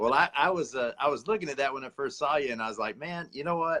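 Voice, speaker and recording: This man's voice sits fairly high and carries a North Carolina accent. His tone is bright and sharp. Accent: US Southern (North Carolina). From North Carolina (Sanford). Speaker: outdoor television host and producer. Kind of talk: casual chat.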